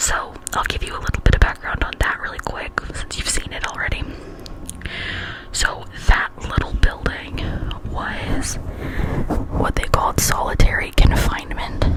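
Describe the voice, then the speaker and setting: Whispering in an American accent at a fairly slow pace, the speaker's loudness swings widely over noticeable background noise. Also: woman. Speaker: ASMR content creator. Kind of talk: casual vlog talk to camera, tour narration. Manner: whispered, soft-spoken.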